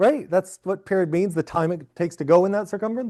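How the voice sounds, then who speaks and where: Against a quiet background, a man talks in a high pitch with ordinary pitch variation. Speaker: physics professor. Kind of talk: lecture. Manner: fast; animated.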